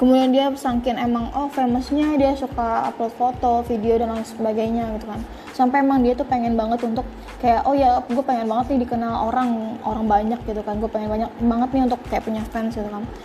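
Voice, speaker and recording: A woman's high-pitched, monotone, flat voice at a fairly quick pace with hardly any pauses, over music in the background. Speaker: podcast speaker. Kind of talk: casual talk on self-improvement. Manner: casual, filler-heavy.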